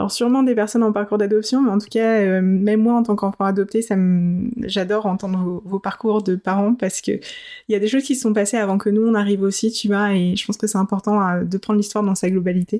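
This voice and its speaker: A woman talks very fast in a dark, mellow tone, her delivery flat and monotone at a very even loudness, on a very clean recording with a silent background. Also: medium pitch for a woman. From adopted to France as an infant. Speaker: podcast host. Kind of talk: interview.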